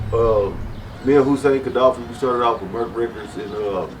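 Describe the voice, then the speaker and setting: There is noticeable background noise and audible room echo around the man speaking. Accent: American. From West Texas. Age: 40s. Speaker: music label owner. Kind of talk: interview. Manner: halting, with many fillers.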